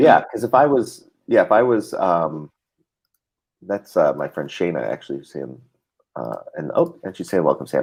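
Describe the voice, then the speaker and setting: A man with a Chicago accent at a moderate pace, with big swings in loudness. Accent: American, Chicago. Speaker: talk show host. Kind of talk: casual chat. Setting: live stream video call. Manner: halting, many fillers.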